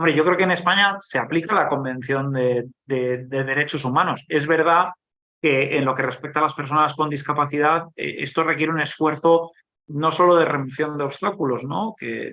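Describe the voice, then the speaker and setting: Here a man talks at a moderate pace with a fairly high pitch. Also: ordinary pitch variation. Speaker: government agency director. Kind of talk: conference Q&A answer. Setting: conference panel with audience. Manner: halting, many repetitions and fillers.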